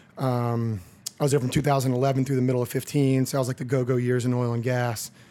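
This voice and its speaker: A man's very fast, monotone delivery in an American accent, medium in pitch with flat intonation. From Texas. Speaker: crypto investor, former energy investor. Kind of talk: podcast interview.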